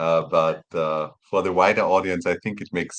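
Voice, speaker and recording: A man speaks with a German accent. His pitch is very deep and low, with ordinary pitch variation. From Austria, small town near Vienna. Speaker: professor of road engineering. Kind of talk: podcast interview. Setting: remote recording, away at a conference. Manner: halting, many repeated words.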